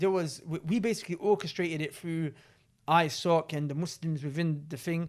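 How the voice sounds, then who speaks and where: Loud and high-pitched, a man speaks at a moderate pace with ordinary pitch variation. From south London, England. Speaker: podcast host. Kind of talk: casual chat. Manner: animated.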